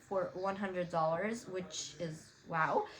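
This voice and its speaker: A woman with a Romanian accent at a very slow pace, with ordinary pitch variation. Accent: Romanian-tinged English. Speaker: YouTuber. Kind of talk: tutorial. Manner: casual, many fillers.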